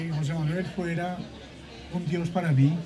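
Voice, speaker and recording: Over crowd noise in the background and audible room echo, a man with a high voice speaks in fairly even intonation. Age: 70s. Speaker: bookseller. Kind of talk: live interview. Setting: stage with audience at book festival.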